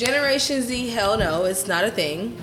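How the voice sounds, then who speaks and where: A woman's speech carries audible room echo, with noticeable background noise behind it. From Atlanta, Georgia. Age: 30s. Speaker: realtor and flight attendant. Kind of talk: casual chat.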